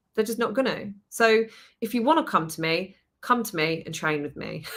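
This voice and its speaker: On a very clean recording with a silent background, a woman with a British accent speaks with very wide pitch swings and big swings in loudness. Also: medium pitch for a woman, moderate pace. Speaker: permanent makeup artist and trainer. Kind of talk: podcast conversation.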